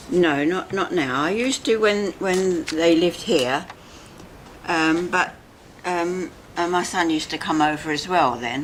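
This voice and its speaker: The speaker has a London accent and talks at a fairly slow pace with ordinary pitch variation. Noticeable background noise runs under the voice. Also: woman, fairly low pitch for a woman. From Barnes, London, England. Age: 90s. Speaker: elderly resident. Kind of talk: casual chat. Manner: halting.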